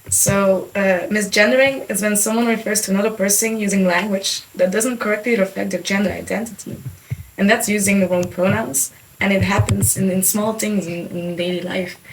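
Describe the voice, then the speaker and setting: With a Dutch accent, the speaker moves at a fairly quick pace and fairly even intonation, amid noticeable background noise and audible room echo. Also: woman, medium pitch for a woman. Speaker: podcast co-host. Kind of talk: podcast discussion.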